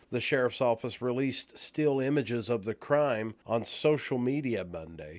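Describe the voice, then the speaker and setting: An ordinary speaking voice moves at a moderate pace with hardly any pauses and lively intonation, on a very clean recording with a silent background. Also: man, medium pitch for a man. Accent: American. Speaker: radio news anchor. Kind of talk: local radio newscast, read from script. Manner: formal, steady, even-paced; objective, neutral, matter-of-fact delivery of figures.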